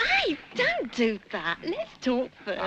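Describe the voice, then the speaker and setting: A woman speaks in a put-on character voice. Her pitch sits high. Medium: short film.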